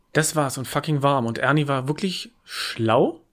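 A man is speaking at a moderate pace. His pitch varies in an ordinary way. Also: medium pitch for a man.

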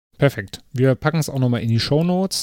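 This male voice has a dark, mellow tone and its pitch varies in an ordinary way. Nothing sounds behind it, and the recording is very clean. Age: 30s. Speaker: podcast host. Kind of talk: casual interview. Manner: frequent filler sounds.

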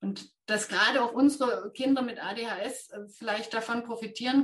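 A woman with a fairly high pitch speaks at a moderate pace in an ordinary speaking voice. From Thuringia, near Jena. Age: 50s. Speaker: ADHD trainer with therapy dog. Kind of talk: interview.

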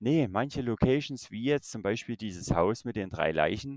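A man with a Saxon accent speaks at medium pitch and a moderate pace with lively intonation, the sound dry and close with no echo on a very clean recording with a silent background. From Saxony, Germany. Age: 30s. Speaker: YouTuber exploring abandoned places and the paranormal. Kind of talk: casual chat.

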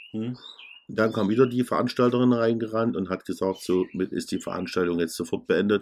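Here is a man with a plain, everyday voice and a fairly low pitch. His pitch variation is ordinary, and his pace is fairly quick. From Saxony, Germany. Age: middle-aged. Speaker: DJ and podcast co-host. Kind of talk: casual chat.

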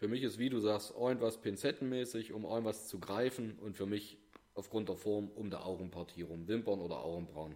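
The man's tone is dark and mellow, his pitch varying in an ordinary way. He talks at a fairly quick pace. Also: fairly low pitch for a man. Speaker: podcast co-host. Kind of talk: casual chat.

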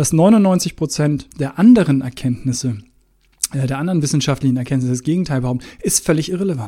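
With a dark, mellow tone that is somewhat breathy, a man speaks at a fairly high pitch. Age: 40s. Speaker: podcast host. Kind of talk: solo podcast talk. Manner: casual with fillers.

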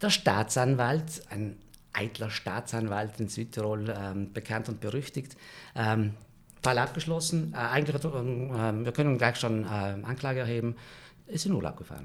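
Over a very clean recording with a silent background, a man talks at a fairly slow pace. His pitch is medium, with ordinary pitch variation. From South Tyrol, valley near Merano. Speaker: screenwriter. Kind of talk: storytelling in casual chat. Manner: hesitant, many fillers.

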